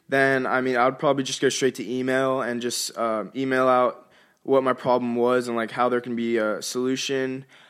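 In a very clean recording with a silent background, a man has a plain, everyday voice at a medium pitch and a fairly quick pace. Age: young. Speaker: university student. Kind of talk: interview.

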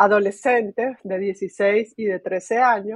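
A woman with a fairly high pitch speaks in a monotone, flat intonation. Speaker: technology executive. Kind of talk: interview. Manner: filler-heavy, hesitant.

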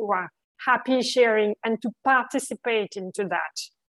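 A woman with a French accent speaks at a fairly high pitch, her intonation fairly even. The sound is dry and close, with no echo. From France. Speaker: recruiter. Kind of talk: interview.

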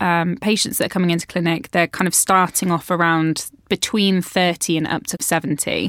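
In a British accent, a woman speaks at a moderate pace with a dry, close sound and no echo. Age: 30s. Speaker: podcast host. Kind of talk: casual interview.

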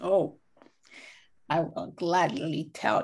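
A woman's voice with vocal fry. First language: French. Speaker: guest, lawyer and education policy advisor. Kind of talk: interview, conversational.

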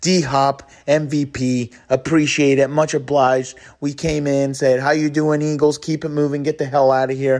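At a moderate pace and a fairly high pitch, a man speaks in a flat monotone with hardly any pauses. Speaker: sports fan commentator. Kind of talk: recorded fan reaction. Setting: hotel room.

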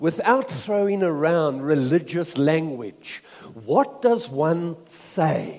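Very slow delivery with very wide swings in pitch, over noticeable background noise. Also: man. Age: 60s. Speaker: visiting preacher. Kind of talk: sermon. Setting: church with live congregation.

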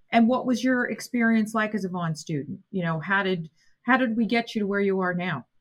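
A woman at medium pitch, somewhat breathy, with ordinary pitch variation and a fairly quick pace. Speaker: college president and podcast host. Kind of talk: interview conversation.

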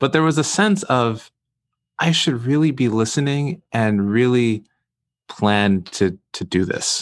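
In an American accent, the speaker talks at a fairly slow pace over a quiet background. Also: man, medium pitch for a man. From Brooklyn, New York. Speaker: guest. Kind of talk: interview conversation. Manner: articulate, thoughtful.

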